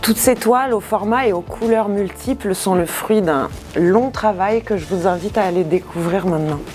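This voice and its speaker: A woman talks at a moderate pace, her pitch medium with ordinary variation. Music runs in the background. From Marseille, southern France. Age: 40s. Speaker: textile company artistic director. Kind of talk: guided workshop tour. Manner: hesitant with fillers.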